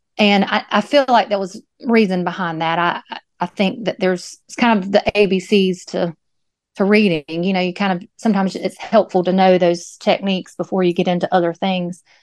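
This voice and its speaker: Against a quiet background, a woman with an unremarkable speaking voice talks at a moderate pace in a medium pitch. Her intonation is fairly even, and the sound is dry and close with no echo. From US South, North Carolina (Moore County). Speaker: artist. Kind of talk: interview.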